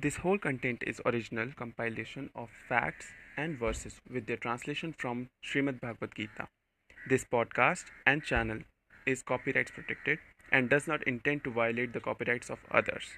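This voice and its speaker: A man with an Indian accent speaks at a medium pitch. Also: ordinary pitch variation, moderate pace. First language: Hindi. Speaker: podcast host. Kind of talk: spiritual talk.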